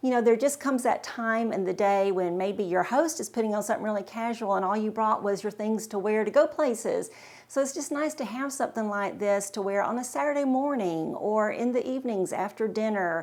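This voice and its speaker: A woman's plain, everyday voice, fairly high, at a fairly quick pace with hardly any pauses and ordinary pitch variation. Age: 60s. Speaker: fashion vlogger. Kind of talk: casual talk to camera.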